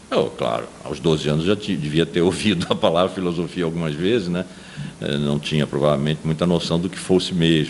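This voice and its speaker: Through noticeable background noise, a man with a very deep, low pitch talks at a fairly quick pace with fairly even intonation. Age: 70s. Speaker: philosophy professor. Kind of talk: testimony interview. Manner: halting with repetitions.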